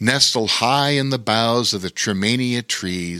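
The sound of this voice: An unforced reading voice is heard throughout.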